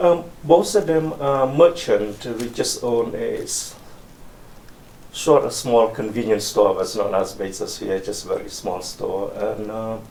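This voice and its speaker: The speaker is a man talking fairly slowly. There is noticeable background noise and an audible echo from the room. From Cambodia, western rural town near Thai border. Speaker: oral history interviewee. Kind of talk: oral history interview. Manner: halting.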